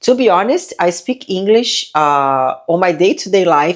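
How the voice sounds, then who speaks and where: Talking at a moderate pace, a woman speaks with a non-native accent. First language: not English. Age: 40s. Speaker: lifestyle vlogger. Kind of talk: casual vlog talk to camera. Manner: halting, with fillers.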